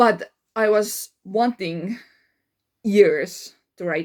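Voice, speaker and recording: In an Estonian accent, a woman speaks at a very slow pace with a medium pitch and ordinary pitch variation. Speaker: life coach. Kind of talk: casual monologue. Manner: halting, many fillers.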